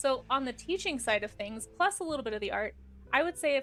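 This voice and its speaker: A soft-spoken woman talks at a fairly quick pace with a high pitch. Her tone is animated. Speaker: art streamer and teacher. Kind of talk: casual chat. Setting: live stream. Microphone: too quiet, directional mic.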